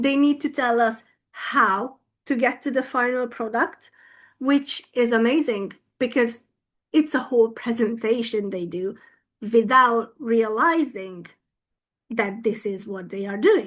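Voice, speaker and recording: Speaking with a Hungarian accent, a woman uses a fairly high pitch and takes long, frequent pauses. Her background is quiet. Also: ordinary pitch variation, fairly slow pace. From Hungary. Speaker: English teacher and teacher trainer. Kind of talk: conference talk. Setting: online video conference. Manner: animated.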